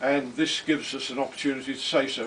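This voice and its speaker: Monotone, flat intonation from a man at a medium pitch, over noticeable background noise. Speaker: retired hospital administrator, parent speaking at family event. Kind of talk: speech at a family celebration. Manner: halting.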